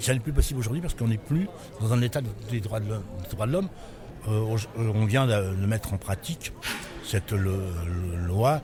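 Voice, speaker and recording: Music plays behind a man with a fairly low pitch and ordinary pitch variation. He leaves long, frequent pauses. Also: moderate pace. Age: 60s. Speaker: writer and former prisoner. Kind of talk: interview. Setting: book fair. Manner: halting.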